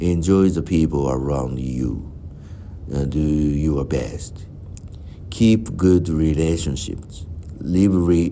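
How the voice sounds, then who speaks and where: The speech moves at a very slow pace with lively intonation. Audible room echo surrounds the voice. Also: man. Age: 60s. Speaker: vlogger. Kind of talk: personal reflective monologue. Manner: halting.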